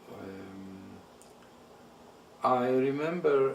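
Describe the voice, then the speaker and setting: A man with a Hungarian accent and ordinary pitch variation, amid audible room echo and noticeable background noise. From Transylvania, Romania (Hungarian-speaking). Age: 70s. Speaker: Holocaust survivor. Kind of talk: oral history interview. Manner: halting, many fillers.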